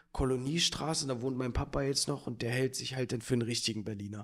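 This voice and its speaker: A man talks at a fairly quick pace, his medium pitch held in a fairly even intonation. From Berlin. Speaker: podcast host. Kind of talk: casual chat. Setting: office studio.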